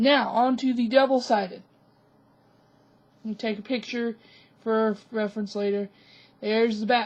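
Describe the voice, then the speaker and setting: A woman's fairly high, flat, monotone voice at a fairly slow pace. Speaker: craft tutorial youtuber. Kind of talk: tutorial. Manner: casual.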